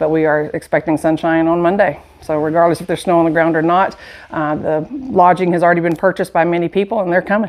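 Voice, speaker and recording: A woman talks very fast with a Southern US accent. Her pitch is fairly low and her intonation fairly even. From US South, Dothan, Alabama. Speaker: shop owner. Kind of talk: casual interview. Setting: in a shop.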